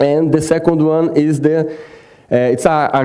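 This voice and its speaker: A man with a Brazilian Portuguese accent speaks at a moderate pace in a fairly high pitch, with audible room echo and noticeable background noise. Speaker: water quality specialist. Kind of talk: conference presentation. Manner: halting, many fillers.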